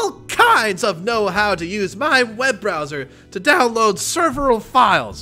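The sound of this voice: A man puts on a character voice, high-pitched, raised and projected, drawling at a fairly slow pace. Faint music plays in the background.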